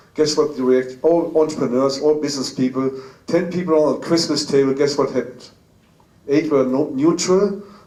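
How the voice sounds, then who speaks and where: This man's voice sits fairly high. His intonation stays fairly even. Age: 60s. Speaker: business speaker. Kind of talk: motivational talk. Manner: halting.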